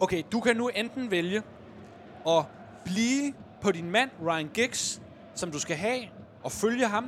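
The speaker talks at a very slow pace, with long and frequent pauses. The intonation is lively throughout. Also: man, high pitch for a man. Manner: animated, playful, dramatic in the commentary.

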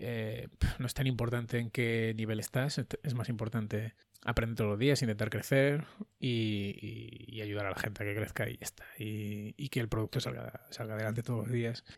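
Moderate pace from a man of medium pitch, monotone and flat in intonation, in a very clean recording over a silent background. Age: 40s. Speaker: podcast host, software developer. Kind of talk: casual chat.

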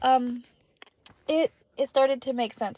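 At a high pitch with ordinary variation, a woman with a dark, mellow tone speaks at a moderate pace in dry, close sound with no echo. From US South, Kentucky and Georgia. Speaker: podcast host. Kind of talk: casual monologue.

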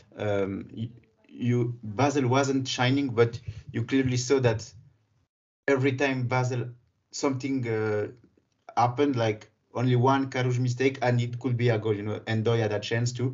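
A man speaks at a moderate pace and a medium pitch, somewhat breathy. His intonation is monotone and flat, with long, frequent pauses. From Geneva, Switzerland. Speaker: football podcast co-host. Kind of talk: casual football discussion.

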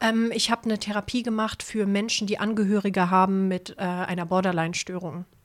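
A woman speaks in a normal speaking voice at a fairly quick pace, with hardly any pauses. Her pitch is medium and her intonation fairly even. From Hamburg. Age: 30s. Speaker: former homeless person. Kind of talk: personal testimony in interview.

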